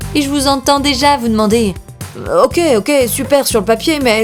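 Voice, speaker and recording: Over music in the background, a woman with a high pitch and lively intonation speaks in an upbeat tone at a moderate pace, her loudness very even. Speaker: voice-over narrator. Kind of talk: educational awareness explainer narration. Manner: lively, conversational, upbeat.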